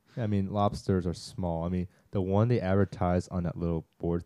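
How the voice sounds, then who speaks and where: A man with a very deep, low pitch and a dark, mellow tone speaks at a moderate pace, the sound dry and close with no echo. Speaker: college student podcast co-host. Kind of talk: casual chat.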